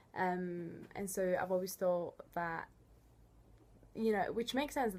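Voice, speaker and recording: In an Italian accent, a woman talks at a medium pitch and a fairly slow pace. The recording is very clean with a silent background. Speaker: student coordinator. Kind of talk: tutorial. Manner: hesitant, many fillers.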